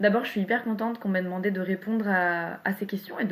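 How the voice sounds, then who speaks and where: A woman at medium pitch talks at a fairly quick pace. She sounds somewhat breathy, with ordinary pitch variation. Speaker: poet. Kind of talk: interview. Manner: halting.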